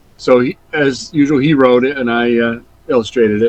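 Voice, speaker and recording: This man has an American accent and a medium pitch. He speaks at a fairly quick pace. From Vermont, USA. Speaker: comic illustrator, retired art teacher. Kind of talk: interview answer.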